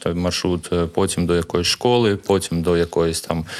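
A man speaks with a very deep, low pitch. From Ukraine, Kharkiv (Saltivka). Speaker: parkour coach and gym co-founder. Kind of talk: interview.

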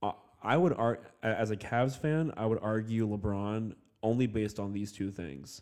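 This man has an ordinary speaking voice, fairly low in pitch, with ordinary pitch variation and a moderate pace. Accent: American. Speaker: podcast host. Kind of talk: casual chat. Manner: self-deprecating, joking.

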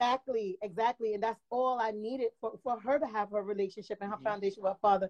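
A woman with a fairly high pitch talks at a very fast pace, her intonation fairly even. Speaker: caller. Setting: video call. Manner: loud talker.

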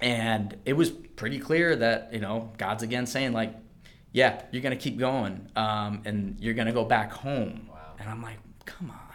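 In a room with audible echo, a man talks with an American accent at a fairly slow pace. His medium-pitched voice has ordinary pitch variation and big swings in loudness. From US Mid-Atlantic, Maryland (Calvert County). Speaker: physical therapist. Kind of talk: testimony.

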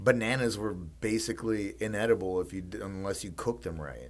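With music in the background, a man speaks at a moderate pace in a fairly low voice, with ordinary pitch variation and big swings in loudness. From Mississippi. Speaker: podcast co-host. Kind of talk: casual chat. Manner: halting, many fillers.

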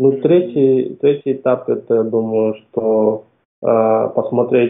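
Fairly even intonation marks a man's speech at a medium pitch. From Kazakhstan, Almaty. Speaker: product developer, freelancer. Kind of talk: interview. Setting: remote call. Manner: halting, hesitant.

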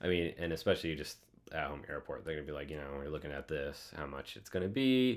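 With an American accent, a man speaks at a very deep, low pitch. His intonation is lively and his pace very fast. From US Midwest, north central Iowa. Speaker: pilot and flight instructor. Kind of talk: casual interview.

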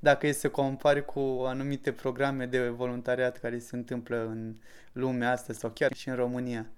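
Recorded very cleanly against a silent background, a man speaks at medium pitch and a moderate pace with monotone, flat intonation. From Romania, Suceava. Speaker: local entrepreneur. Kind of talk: interview.

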